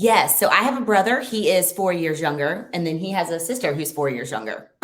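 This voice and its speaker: With a Lowcountry accent, a woman speaks at a fairly quick pace. Her fairly low pitch moves in very wide swings. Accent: Southern US (Low Country). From US South, coastal Low Country (Beaufort). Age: 30s. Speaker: lawn care franchise owner. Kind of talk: interview.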